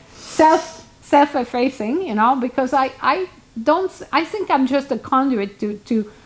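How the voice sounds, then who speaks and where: Noticeable background noise sits behind a woman with a non-native accent and a high pitch. She speaks at a fairly slow pace with lively intonation. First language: not English. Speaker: hoof care professional. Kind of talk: casual chat. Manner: halting.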